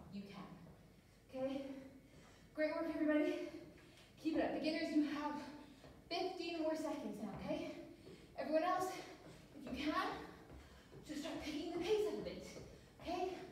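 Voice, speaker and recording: Through strong room echo and light background noise, a woman speaks in a high pitch at a moderate pace, with long, frequent pauses. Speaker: fitness instructor. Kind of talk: workout instruction. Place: gym. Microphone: camera far.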